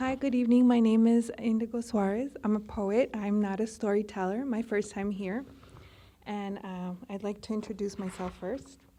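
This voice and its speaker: A woman with a slight Spanish accent in a fairly high, dark, mellow voice, moderate pace and fairly even intonation. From Colombia. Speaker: poet.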